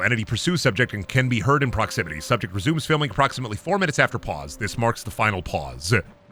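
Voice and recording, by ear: A man talks fast at a medium pitch, with a bright, sharp tone. His pitch swings widely and he barely pauses.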